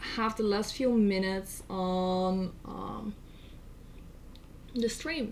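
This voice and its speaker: A woman speaks in a Dutch accent, her pitch varying in an ordinary way. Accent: Dutch accent, noticeable. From Netherlands. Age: 20s. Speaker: streamer. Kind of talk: casual chat. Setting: live stream. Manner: soft.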